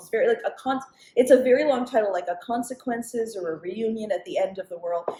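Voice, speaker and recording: In a Canadian accent, a woman talks at a fairly quick pace with a fairly high pitch, a somewhat breathy, dark and mellow tone, and ordinary pitch variation. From Montreal, Canada. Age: 40s. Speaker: comedian. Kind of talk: casual chat.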